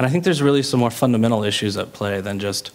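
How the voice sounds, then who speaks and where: With noticeable background noise behind him, this man's pitch varies in an ordinary way. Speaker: panelist. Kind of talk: panel debate.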